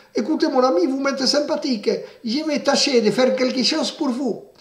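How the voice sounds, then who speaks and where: This put-on character voice is high-pitched and moves at a fairly quick pace. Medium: read story.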